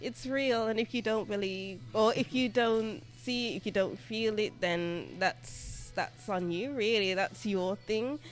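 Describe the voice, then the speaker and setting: Over music in the background, a woman with a British accent talks at a fairly slow pace with lively intonation. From Birmingham, England. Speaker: tarot reader and English teacher. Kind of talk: interview answer.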